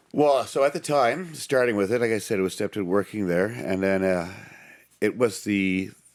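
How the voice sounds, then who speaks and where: A man with a normal speaking voice, fairly low in pitch, lively intonation and a moderate pace, on a very clean recording with a silent background. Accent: Canadian. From Ontario, Canada (near Ottawa). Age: 50s. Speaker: veteran bartender. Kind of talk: casual interview chat.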